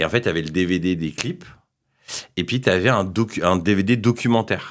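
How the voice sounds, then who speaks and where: Recorded very cleanly against a silent background, a man speaks at a fairly quick pace in a very deep, low pitch. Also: ordinary pitch variation. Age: 30s. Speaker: entrepreneur. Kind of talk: podcast interview. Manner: hesitant, many fillers.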